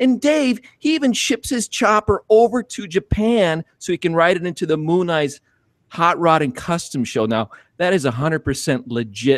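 A man at a high pitch with very wide pitch swings and a fairly slow pace, on a dry sound with no echo against a quiet background. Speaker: podcast co-host. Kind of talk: guest introduction. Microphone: video call.

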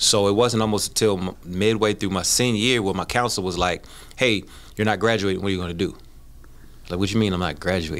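A man speaks very fast with an American accent. His pitch sits fairly low, and his intonation stays fairly even. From Baltimore, Maryland. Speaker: former pro football player; podcast guest. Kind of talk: interview. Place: studio. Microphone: studio mic.

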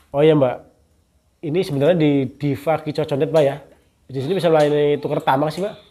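Despite long, frequent pauses, a man with a dark, mellow tone talks at a very fast pace. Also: fairly high pitch for a man. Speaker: bird market reviewer / YouTuber. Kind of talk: street seller price haggling, shop-visit review chat. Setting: outdoors at a bird stall. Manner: fast, chatty, rapid-fire price questions; friendly, upbeat, polite. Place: shop.

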